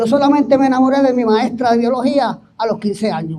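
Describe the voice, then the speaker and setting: Fairly quick speech from a man, with ordinary pitch variation. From Puerto Rico, Barranquitas countryside. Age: 70s. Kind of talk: testimony.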